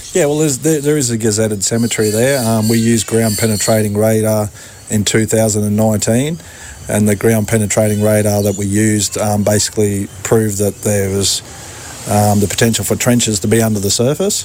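With an Australian accent, a man with a fairly low pitch speaks at a fairly quick pace, his intonation fairly even and his loudness very even, over noticeable background noise. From Ipswich region, Queensland, Australia. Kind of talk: interview. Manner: halting, repeats words.

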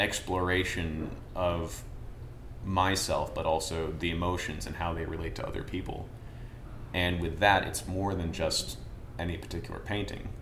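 A man with a very deep, low voice speaks fairly slowly with long, frequent pauses, amid audible room echo and noticeable background noise. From Vermont. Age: 30s. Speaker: painter. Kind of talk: casual interview chat. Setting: art gallery studio.

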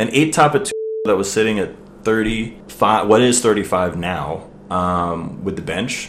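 A man at a fairly low pitch with ordinary pitch variation, a very slow pace, audible room echo and noticeable background noise. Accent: American. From US, Maryland. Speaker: restaurant server and musician. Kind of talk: casual chat.

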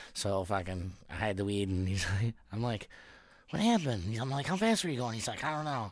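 Speaking fairly quickly with an American accent, a man has a plain, everyday voice at medium pitch and lively intonation, recorded very cleanly against a silent background. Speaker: podcast host. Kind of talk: casual chat.

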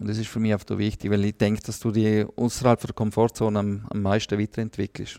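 On a very clean recording with a silent background and a dry, close sound with no echo, a man talks at a fairly quick pace in a fairly low, dark, mellow voice with monotone, flat intonation. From Liechtenstein. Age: 40s. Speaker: football coach. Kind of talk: casual interview.

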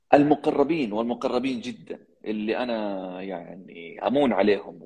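Talking at a fairly slow pace, a man keeps a medium pitch with ordinary variation. He hardly pauses at all. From Saudi Arabia, Jeddah (Hejaz). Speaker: podcast host and public speaking champion. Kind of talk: interview.

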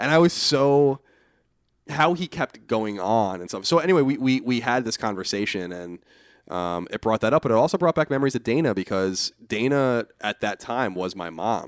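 With a Long Island accent, a man speaks at a moderate pace and medium pitch with very wide pitch swings, on a very clean recording with a silent background and a dry, close sound with no echo. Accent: New York (Long Island). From Long Island, New York. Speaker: podcast guest, online media personality. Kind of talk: casual chat.

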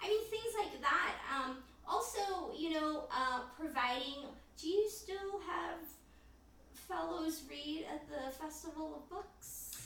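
Amid noticeable background noise and audible room echo, a woman speaks very slowly in an extremely high voice with lively intonation. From Philippines. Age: 40s. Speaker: poet. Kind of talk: casual chat.

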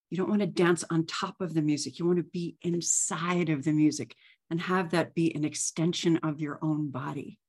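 A woman speaks at a moderate pace in a plain, everyday voice. Her pitch sits fairly low and her intonation stays fairly even. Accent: American. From New York area. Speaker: musician and sound practitioner. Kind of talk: casual chat.

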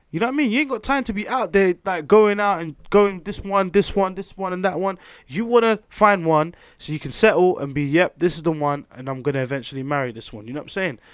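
A man's very fast, high-pitched speech with very wide pitch swings and big shifts in loudness, on a very clean recording with a silent background. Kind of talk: casual chat.

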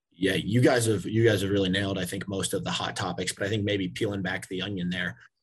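A man speaks at a very fast pace with hardly any pauses, at a fairly low pitch. Vocal fry runs through his voice, with ordinary pitch variation. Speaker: panelist in real estate services. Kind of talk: panel discussion. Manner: casual, filler-heavy.

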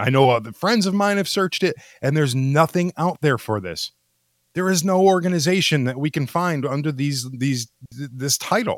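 A man's fairly high voice, a plain, everyday voice at a moderate pace, lively intonation, and a dry, close sound with no echo. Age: 40s. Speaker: podcast co-host. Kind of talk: casual chat. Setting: online voice chat.

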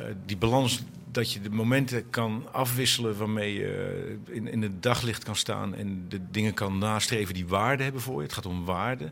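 Audible room echo surrounds a man with a fairly low voice. He speaks at a moderate pace with ordinary pitch variation. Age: middle-aged. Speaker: organisation consultant, former cycling commentator. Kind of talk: panel discussion. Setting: live event at a festival. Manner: halting.

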